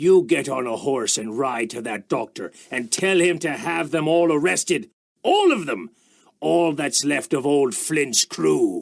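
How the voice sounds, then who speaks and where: Using a put-on character voice, a man speaks fairly high and fairly slowly with lively intonation. The recording is very clean, with a silent background. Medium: audio drama. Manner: gruff, desperate.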